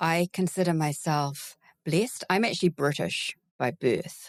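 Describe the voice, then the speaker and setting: Recorded very clean with a silent background and a dry, close sound with no echo, a woman with a New Zealand accent speaks at very slow pace with fairly low pitch. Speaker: veterinary recruiter. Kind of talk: casual interview.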